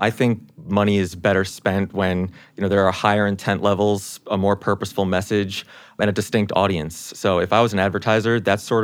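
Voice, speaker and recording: Talking with a New York accent, a man uses a fairly low pitch and fairly even intonation at a fairly quick pace. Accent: New York American. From US Northeast, New York. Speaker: brand strategist at a social media platform. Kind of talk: casual chat.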